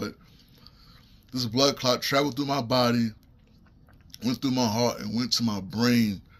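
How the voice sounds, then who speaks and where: Speaking in a New York accent, a man keeps a moderate pace, medium pitch and fairly even intonation. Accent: New York City. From US Northeast, Brooklyn, New York. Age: 40s. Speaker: stroke survivor. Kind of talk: testimony. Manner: halting.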